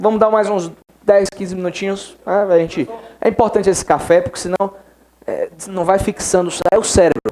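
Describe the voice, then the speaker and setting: Long, frequent pauses break up speech with fairly even intonation. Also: man, high pitch for a man. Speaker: law exam-prep teacher. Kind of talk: classroom lecture. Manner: fast.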